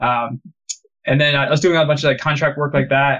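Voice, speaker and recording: A man with a fairly high pitch, an American accent, fairly even intonation and a normal speaking voice. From United States. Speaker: game artist and studio founder. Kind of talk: casual interview.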